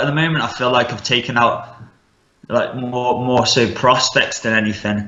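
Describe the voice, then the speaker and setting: A man with a Midlands accent speaks at a medium pitch amid audible room echo. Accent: Midlands English, mild. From West Midlands, England (Stafford). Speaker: MMA fighter. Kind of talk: casual interview.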